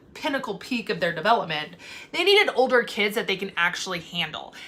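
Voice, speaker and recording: A loud, animated woman at a fairly quick pace, her pitch swinging very widely, over noticeable background noise. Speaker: foster parent vlogger. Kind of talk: casual vlog monologue.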